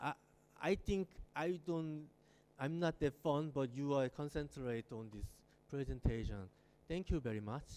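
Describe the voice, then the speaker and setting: This man's voice has a fairly high pitch and a dark, mellow tone, with lively intonation. He moves at a moderate pace with long, frequent pauses. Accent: Korean. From South Korea. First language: Korean. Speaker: architect. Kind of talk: lecture. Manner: halting.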